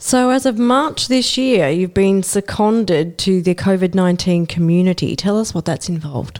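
A woman talks at a moderate pace with hardly any pauses, in a normal speaking voice. Her pitch is medium and her intonation lively. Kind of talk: casual interview.

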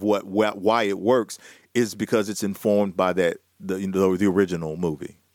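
A fairly quick, fairly low-pitched man's voice with a Southern US accent. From US South. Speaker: radio host. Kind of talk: casual chat. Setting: video call.

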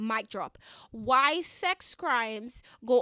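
A woman speaks at a high pitch with a bright, sharp, animated tone, lively intonation and a slight Caribbean accent. The recording is very clean and dry, close with no echo and a silent background. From Dominica, Caribbean. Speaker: podcast host. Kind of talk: solo podcast monologue, conversational. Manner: expressive, animated, repeats words for emphasis.

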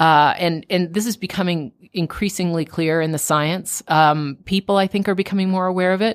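A woman with a Canadian accent talks in an ordinary speaking voice at medium pitch, moderate pace and fairly even intonation, with hardly any pauses. The recording is very clean, with a silent background. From Canada, Toronto. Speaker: best-selling author. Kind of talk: radio interview. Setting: radio studio.

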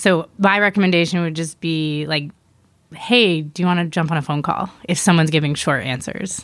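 An unremarkable speaking voice from a woman with an American accent, fairly low pitch, moderate pace, and a very clean recording with a silent background. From US East Coast (Miami and New York). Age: 30s. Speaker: life coach. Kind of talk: casual chat.

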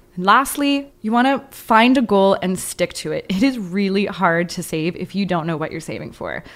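A woman with an unremarkable speaking voice talks fairly quickly at medium pitch with ordinary pitch variation. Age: 20s. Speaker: podcast co-host. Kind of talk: interview; scripted narration.

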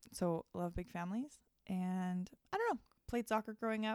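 Here is a woman with a North American accent and an unremarkable speaking voice, medium in pitch with ordinary variation. She talks at a moderate pace, and the sound is dry and close with no echo. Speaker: mother. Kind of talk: casual chat. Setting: hotel room.

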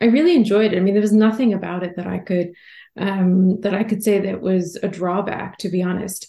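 In an American accent, a woman speaks at a medium pitch with a dark, mellow tone and a somewhat breathy quality. Her intonation is fairly even and her pace fairly quick. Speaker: journalist and author. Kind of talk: interview. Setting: remote call.

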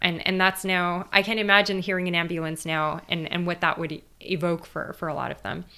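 Speaking at a fairly quick pace in a Californian accent, the voice is bright and sharp in tone but monotone and flat in intonation. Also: woman, fairly low pitch for a woman, hardly any pauses. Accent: Californian American. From US West Coast, East Los Angeles. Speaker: theoretical physicist and author. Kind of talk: interview conversation.

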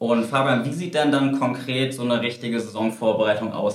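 With audible room echo and noticeable background noise, a man speaks at a medium pitch with fairly even intonation. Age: 30s. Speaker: golf coach. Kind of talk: interview. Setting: studio.

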